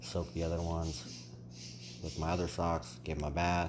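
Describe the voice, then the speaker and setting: The soft-spoken voice carries an audible room echo. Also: man. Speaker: aquarium hobbyist vlogger. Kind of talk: casual vlog ramble.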